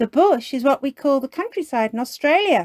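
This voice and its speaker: Using a put-on character voice, a female-sounding speaker projects a raised, high-pitched voice at a fairly quick pace. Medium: read story. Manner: gentle, friendly.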